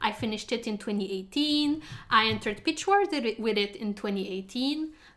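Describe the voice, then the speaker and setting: A woman with a fairly high pitch speaks with lively intonation. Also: moderate pace. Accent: French. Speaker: fantasy writer. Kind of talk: casual talk to camera. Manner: chatty.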